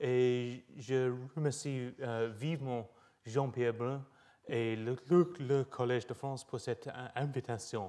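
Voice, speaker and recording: A man's very slow, dark, mellow voice in a British accent, with fairly even intonation. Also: medium pitch for a man. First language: English (speaking French). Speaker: professor. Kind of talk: lecture. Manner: halting with many hesitations.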